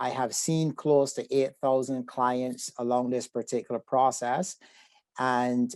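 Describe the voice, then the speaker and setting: Over a quiet background, a man with a Barbadian accent speaks fairly slowly at a medium pitch with fairly even intonation. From Barbados. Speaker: psychotherapist. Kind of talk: webinar presentation. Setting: video call.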